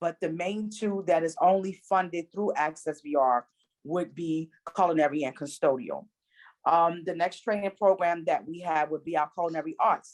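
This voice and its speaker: The sound is close and dry, without any echo. An unremarkable speaking voice moves at a medium speed with ordinary pitch variation. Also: woman. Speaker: enrollment specialist presenting a training program. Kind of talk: presentation at an online meeting.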